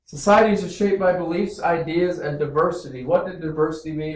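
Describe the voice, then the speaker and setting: Loud and high-pitched, a man with an American accent speaks at a fairly quick pace. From small town US Midwest. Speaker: teacher. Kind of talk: classroom lesson. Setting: classroom. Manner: animated.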